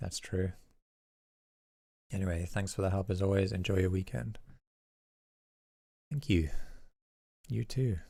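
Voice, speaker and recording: Long, frequent pauses break up a man's very deep, low voice, which is dark, mellow and somewhat breathy. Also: moderate pace. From South Africa. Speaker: music producer and YouTube teacher. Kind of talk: livestream track feedback. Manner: monotone.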